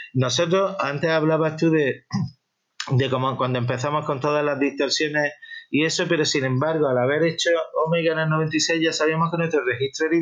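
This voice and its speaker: The man's pitch is fairly high, and his intonation is fairly even. He keeps a moderate pace and very even loudness. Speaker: rock musician. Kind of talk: interview. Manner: halting.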